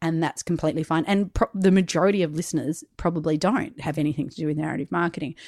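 A woman with an Australian accent talks at a very fast pace with hardly any pauses, in a fairly low pitch with ordinary pitch variation, and the sound is dry and close with no echo in a very clean recording with a silent background. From South Australia. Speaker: podcaster and storyteller. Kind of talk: casual interview.

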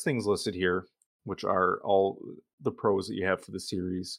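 On a very clean recording with a silent background, a man speaks with a Michigan accent. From Michigan, US. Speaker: podcast host. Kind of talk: casual chat.

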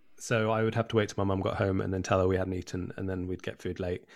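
A man speaks very fast at a fairly low pitch, with ordinary pitch variation. The recording is very clean and the background silent. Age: 30s. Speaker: surgeon and author. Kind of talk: casual interview.

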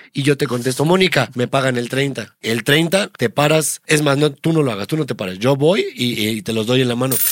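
Medium-pitched male voice, animated in tone, with ordinary pitch variation, a moderate pace and hardly any pauses. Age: 30s. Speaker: podcast host, comedian. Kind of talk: casual chat.

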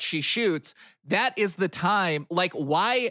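In a very clean recording with a silent background, a man speaks at a very slow pace in a high, bright, sharp voice. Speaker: podcast co-host. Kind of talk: casual comedic chat about movies.

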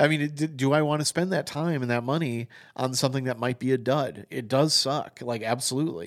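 A man with an American accent speaks at a fairly quick pace, with medium pitch and ordinary pitch variation. It is a normal speaking voice on a very clean recording with a silent background. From Wisconsin, US Midwest. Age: 40s. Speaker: podcast host, music writer. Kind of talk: casual interview conversation.

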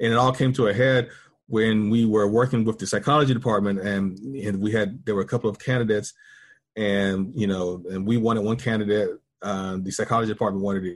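A man with an American accent talks at a very fast pace at a fairly low pitch, keeping fairly even intonation against a quiet background. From US South, rural North Carolina. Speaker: university institute director and professor. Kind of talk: interview. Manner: halting, many fillers and repetitions.

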